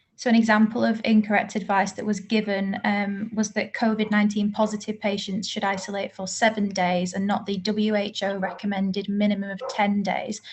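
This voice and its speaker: Over noticeable background noise, a woman with a medium-pitched voice talks at a fairly quick pace in a flat monotone, with hardly any pauses. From Manchester, northern England. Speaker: bereaved relative giving evidence. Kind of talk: oral evidence to a parliamentary group. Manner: formal.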